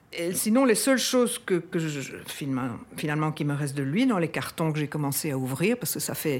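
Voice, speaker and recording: A woman is speaking. She talks at a fairly quick pace. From Belgium, Brussels. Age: 60s. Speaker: descendant of a historical figure. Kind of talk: interview testimony. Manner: halting, many hesitations.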